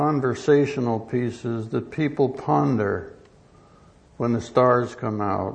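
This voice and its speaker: A man speaks at a very slow pace, his medium-pitched voice moving with ordinary pitch variation. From US West Coast, Los Angeles. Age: 70s. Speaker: retired professor of agronomy and ethics. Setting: conference hall with audience. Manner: formal, halting with fillers.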